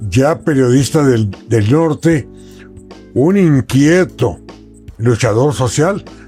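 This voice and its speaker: Over music in the background, a man with a fairly high-pitched voice and lively intonation speaks at a very slow pace. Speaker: radio journalist and broadcaster. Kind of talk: interview answer.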